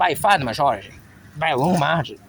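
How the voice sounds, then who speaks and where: Noticeable background noise is present. The speech comes at a fairly quick pace. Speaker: vlogger. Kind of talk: personal monologue. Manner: soft-spoken; halting.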